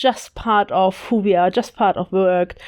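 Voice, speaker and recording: Speaking with a German accent, a woman talks at a moderate pace. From Germany. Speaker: podcast co-host, leadership coach. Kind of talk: casual podcast discussion.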